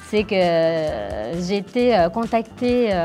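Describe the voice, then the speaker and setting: Music plays in the background as a woman with an Italian accent talks at a medium pitch with lively intonation. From Naples, Italy. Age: 30s. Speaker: actress. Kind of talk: interview answer. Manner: bubbly.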